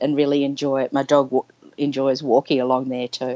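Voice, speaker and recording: A woman is speaking. She has an Australian accent. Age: 50s. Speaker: nurse sharing her story. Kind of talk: interview testimony. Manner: halting, many fillers.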